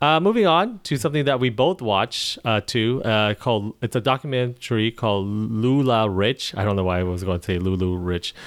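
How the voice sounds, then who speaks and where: In a very clean recording with a silent background and a dry, close sound with no echo, a man of medium pitch speaks at a moderate pace with lively intonation and hardly any pauses. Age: 20s. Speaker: podcast host. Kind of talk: casual chat. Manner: halting.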